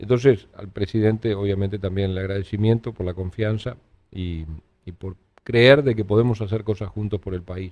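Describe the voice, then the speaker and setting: A man speaks at a fairly quick pace with fairly low pitch. He has a plain, everyday voice. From Uruguay. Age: 60s. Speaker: politician. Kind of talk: interview.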